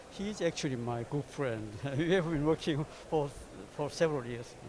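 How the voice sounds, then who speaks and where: This man speaks with a Korean accent. His pace is moderate and his pitch variation ordinary. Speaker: diplomat. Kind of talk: closing remarks. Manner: halting.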